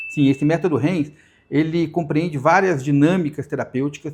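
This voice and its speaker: Against a quiet background, a man with a fairly high voice speaks at a fairly quick pace. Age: 60s. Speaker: hypnotherapist. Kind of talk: podcast interview. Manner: halting.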